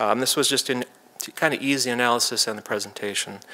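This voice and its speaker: A man talks at a fairly quick pace with medium pitch and fairly even intonation. Noticeable background noise sits under his voice. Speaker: data analyst presenter. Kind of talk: presentation. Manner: fast.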